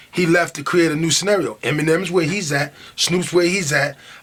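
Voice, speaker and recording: Through noticeable background noise, a man with a New York accent talks fairly quickly in a high voice. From Long Island, New York. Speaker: rapper. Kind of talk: interview. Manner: halting.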